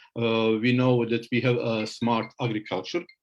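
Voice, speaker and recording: A man talks at a medium pitch with a Bosnian accent. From Bosnia and Herzegovina. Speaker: professor of electronics. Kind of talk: lecture presentation. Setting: online webinar. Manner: halting.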